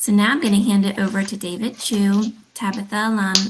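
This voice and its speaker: Against noticeable background noise, a woman speaks at a moderate pace and medium pitch. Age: 30s. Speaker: arts agency accessibility director. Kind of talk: webinar introduction. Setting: online webinar.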